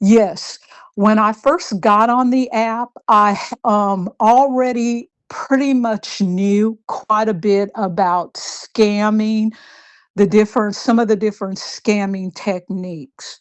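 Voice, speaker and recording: Pitch variation in the woman's voice is ordinary. She talks very slowly. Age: 60s. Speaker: romance scam victim sharing her experience. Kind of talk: interview testimony.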